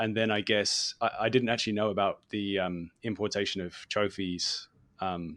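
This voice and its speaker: Against a quiet background, a man with a British accent speaks at a moderate pace. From England. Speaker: hunting podcast host. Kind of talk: podcast interview.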